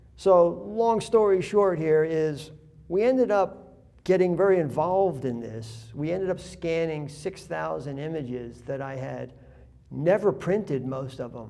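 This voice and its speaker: A man's dark, mellow voice at a fairly slow pace, with lively intonation, big swings in loudness and audible room echo. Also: fairly high pitch for a man. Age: 60s. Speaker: artist. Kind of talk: interview. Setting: art gallery. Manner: rambling, conversational.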